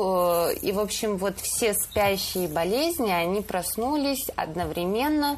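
A woman's very slow delivery with lively intonation. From Stavropol region, southern Russia. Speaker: photo editor at a news agency. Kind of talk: casual chat.

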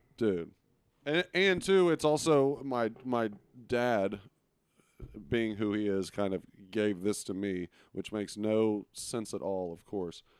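On a very clean recording with a silent background, a man with a Texan accent speaks very slowly in a fairly low voice, his intonation lively and his pauses long and frequent. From Texas, Arlington. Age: 30s. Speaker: sports podcast co-host. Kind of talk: casual chat.

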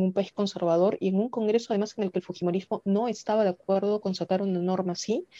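A woman's medium-pitched voice, dark and mellow, very fast with fairly even intonation, dry and close with no echo. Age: 30s. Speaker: congressional candidate and lawyer. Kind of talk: interview.

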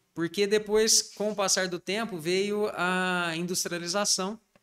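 High male pitch, fairly even intonation. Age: 40s. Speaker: pharmacist, pharmacy owner. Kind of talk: interview.

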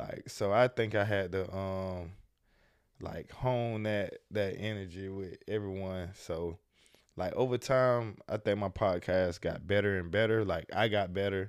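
In an American accent, a plain, everyday voice speaks fairly slowly with fairly even intonation on a very clean recording with a silent background. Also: man, fairly low pitch for a man. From US South, Jacksonville, Florida. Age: 20s. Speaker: entrepreneur and podcast host. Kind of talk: casual interview.

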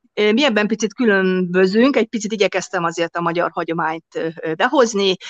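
In a normal speaking voice, a woman talks with a medium pitch and ordinary pitch variation. The sound is dry and close, with no echo. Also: fairly quick pace. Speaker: restaurant and hotel owner. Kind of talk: interview.

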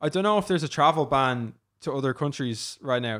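A fairly high-pitched man with an Irish accent. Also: very clean recording, silent background. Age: 20s. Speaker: content creator and startup co-founder. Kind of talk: interview. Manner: casual, filler-heavy.

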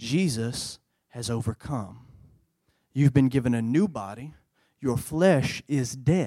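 A man with a Louisiana accent at a medium pitch, dark and mellow in tone, with ordinary pitch variation, a very slow pace, and long, frequent pauses. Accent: Southern US (Louisiana). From US South, central Louisiana. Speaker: youth pastor. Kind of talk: sermon. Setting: church. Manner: animated.

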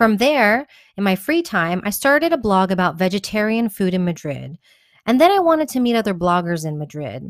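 A woman speaks at medium pitch in an American accent, fairly quickly and with very wide pitch swings. The recording is very clean, with a silent background. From Texas, Houston. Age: 30s. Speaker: community organizer and blogger. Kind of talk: scripted narration.

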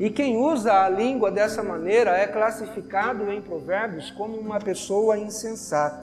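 With music in the background, the speech moves at a moderate pace with ordinary pitch variation and hardly any pauses. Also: man, high pitch for a man. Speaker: preacher. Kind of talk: sermon. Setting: church. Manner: earnest, admonishing; rhetorical questions, conversational teaching.

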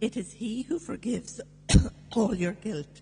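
A woman with a normal speaking voice, a fairly slow pace and ordinary pitch variation. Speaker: scripture reader at Mass. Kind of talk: reading aloud.

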